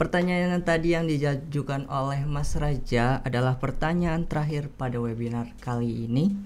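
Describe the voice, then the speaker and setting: A plain, everyday voice at a moderate pace, with ordinary pitch variation, hardly any pauses and light background noise. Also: man, fairly high pitch for a man. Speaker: student moderator. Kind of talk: moderating a webinar Q&A. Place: studio. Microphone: studio mic.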